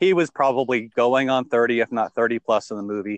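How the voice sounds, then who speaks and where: In an unremarkable speaking voice of medium pitch, a man talks at a fairly quick pace against a quiet background, the sound dry and close with no echo. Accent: American. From England. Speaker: consultant and father. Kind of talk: casual chat. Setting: group call.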